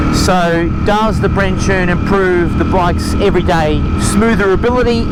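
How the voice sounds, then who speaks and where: A man talks at a high pitch while noticeable background noise and audible room echo fill the recording. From New Zealand. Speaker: motorcycle vlogger. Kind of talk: casual ride vlog commentary. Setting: riding a motorcycle outdoors. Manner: animated, enthusiastic.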